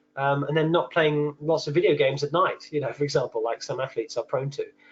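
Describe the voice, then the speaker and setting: A man with a British accent talking at a very fast pace. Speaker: nutritional therapist presenting a webinar. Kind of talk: webinar lecture. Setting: online webinar.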